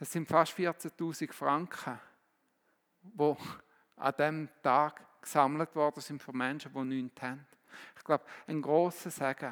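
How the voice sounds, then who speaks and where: Pausing long and often, a man with a fairly high pitch talks at a very slow pace, his loudness swinging widely, on a very clean recording with a silent background. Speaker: preacher. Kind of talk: sermon in a church service, teaching with direct appeals and closing prayer. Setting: church. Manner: earnest, animated, exhorting.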